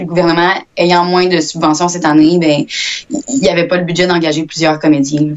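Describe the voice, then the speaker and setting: A woman talks at a moderate pace with medium pitch. She has a normal speaking voice. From Quebec, Victoriaville area. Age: young. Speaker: actress and student. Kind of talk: interview.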